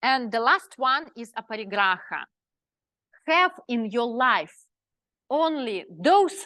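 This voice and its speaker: Against a quiet background, a speaker with a non-native accent talks at a very slow pace, the pitch swinging very widely. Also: woman. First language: not English. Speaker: spiritual teacher. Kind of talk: lecture. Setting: live class with audience. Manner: halting.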